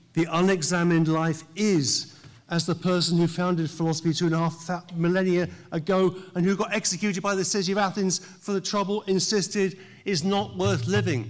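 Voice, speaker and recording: High-pitched man's voice with a British accent, moderate pace and ordinary pitch variation. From England. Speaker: professor. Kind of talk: commencement speech. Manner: formal.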